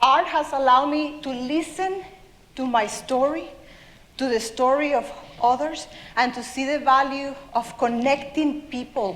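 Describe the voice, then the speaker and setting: Fairly slow speech in a South American accent with ordinary pitch variation, audible room echo and noticeable background noise. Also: woman. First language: Spanish. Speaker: children's author. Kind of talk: talk to an audience.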